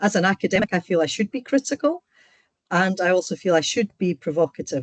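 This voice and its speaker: A woman in a Scottish accent at a fairly quick pace, with ordinary pitch variation, dry, close sound with no echo and a quiet background. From Scotland. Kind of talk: online seminar lecture. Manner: direct, straight to the point.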